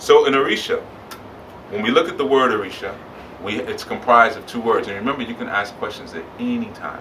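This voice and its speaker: Speaking at a fairly quick pace, a man varies his loudness in big swings, with audible room echo and noticeable background noise. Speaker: spiritual teacher. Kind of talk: lecture. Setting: bookstore with live audience.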